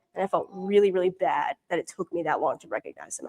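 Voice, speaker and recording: Dry and close with no echo, a woman with an American accent talks in a dark, mellow tone. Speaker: mission intern. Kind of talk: mission report with slides. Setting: church prayer meeting. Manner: casual, many fillers.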